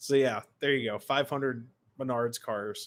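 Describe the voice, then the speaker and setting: This very clean recording has a silent background. On it, a man with a fairly high pitch speaks in an American accent. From Baltimore area, Maryland. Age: 20s. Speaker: model train YouTuber. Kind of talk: live stream chat. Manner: casual, rambling.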